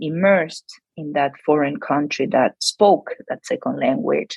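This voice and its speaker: Speaking in a Spanish accent, a woman has a very deep, low pitch. Her pace is fairly slow and her pitch varies in an ordinary way. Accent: non-native English accent, Spanish. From Argentina. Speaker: psychology researcher. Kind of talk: podcast interview. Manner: hesitant, many fillers.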